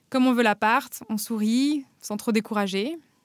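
Recorded very cleanly against a silent background, a woman's voice sounds dry and close with no echo and shows ordinary pitch variation. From France, Paris then Normandy. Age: 30s. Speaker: guest sharing personal story. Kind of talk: scripted narration.

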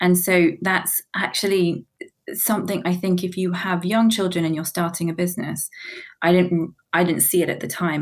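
Speaking at a moderate pace, a woman with a fairly low pitch keeps her intonation monotone and flat. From New Zealand. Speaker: business founder. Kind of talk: interview.

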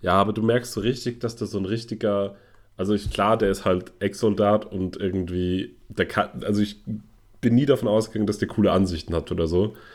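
A man with a plain, everyday voice and a fairly low pitch talks at a fairly quick pace with fairly even intonation, in a very clean recording with a silent background. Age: 40s. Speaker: podcast co-host. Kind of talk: casual chat.

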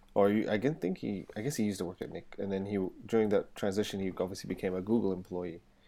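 A man with a dark, mellow tone and a fairly low pitch speaks at a very fast pace. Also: ordinary pitch variation. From England. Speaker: portrait photographer and co-host. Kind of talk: casual chat.

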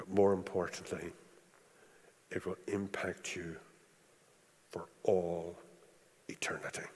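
A very slow, very deep male voice in a Northern Irish accent, monotone and flat, broken by long, frequent pauses. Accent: Northern Irish (Belfast). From Northern Ireland (East Belfast). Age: 60s. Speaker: preacher. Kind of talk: sermon. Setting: church.

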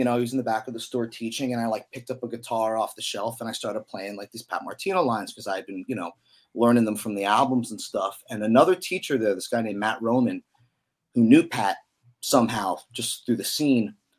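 At a fairly quick pace, a man speaks at medium pitch with ordinary pitch variation.

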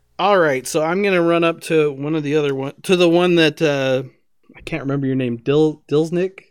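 A normal speaking voice from a man, fairly high in pitch, at a fairly quick pace with fairly even intonation. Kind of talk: casual chat and tabletop game session.

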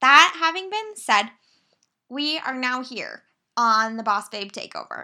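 A woman's high, bright and sharp voice, raised and projected, with very wide pitch swings, big swings in loudness, a fairly slow pace and long, frequent pauses. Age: 20s. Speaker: podcast host. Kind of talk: solo podcast monologue. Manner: casual, chatty.

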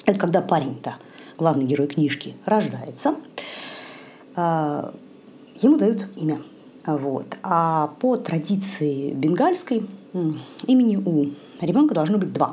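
A soft-spoken woman at a fairly low pitch, very slow with long, frequent pauses, lively intonation, and audible room echo. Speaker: podcast host on yoga and India. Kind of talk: solo podcast monologue, book review. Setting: at home in the kitchen late at night. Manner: soft-spoken, quiet. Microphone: possible sound quality problems.

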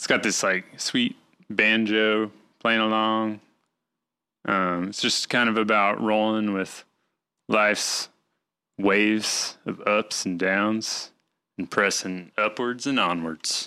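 In a Southern US accent, a man with a fairly low pitch and a bright, sharp tone speaks at a very slow pace in monotone, flat intonation with long, frequent pauses, in a very clean recording with a silent background. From Arkansas, US South. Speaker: podcast host. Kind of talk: casual chat.

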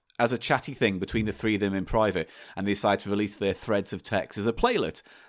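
Very fast speech in an English accent with fairly even intonation. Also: man. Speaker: podcast host. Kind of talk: casual chat. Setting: remote recording.

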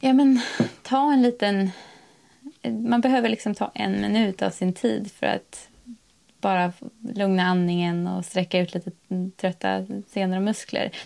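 A woman at medium pitch talks with long, frequent pauses. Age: 30s. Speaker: blogger and new mother living rurally. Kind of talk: casual interview.

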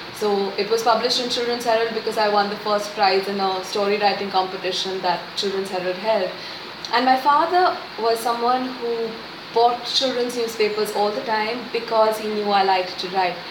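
A woman's fairly high voice moves at a moderate pace with ordinary pitch variation, with noticeable background noise and audible room echo. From India, Pune. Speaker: children's writer. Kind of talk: interview.

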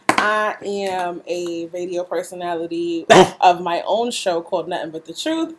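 With a New York accent, the speech moves at a moderate pace in a monotone, flat intonation amid noticeable background noise. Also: woman, fairly low pitch for a woman. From Brooklyn, New York (East New York). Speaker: radio host. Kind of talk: casual chat. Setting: laptop recording, makeshift setup.

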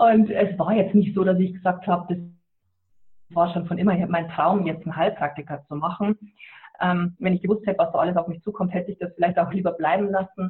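A woman speaks at a moderate pace and medium pitch with fairly even intonation, in an unremarkable speaking voice. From Lower Bavaria, Germany. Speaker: author and animal communicator. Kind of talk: interview. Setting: phone call.

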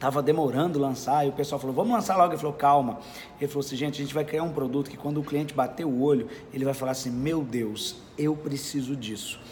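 This man talks at a very fast pace, his pitch fairly high with ordinary variation. Noticeable background noise runs under his voice. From Brazil, Minas Gerais (Belo Horizonte). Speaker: sales speaker. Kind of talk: interview. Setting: at a sales event in Curitiba.

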